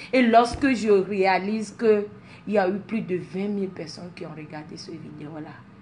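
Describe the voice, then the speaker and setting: A somewhat breathy voice at a fairly slow pace. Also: woman. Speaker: social media personality. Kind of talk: motivational talk to followers. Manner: animated, mixes French and English.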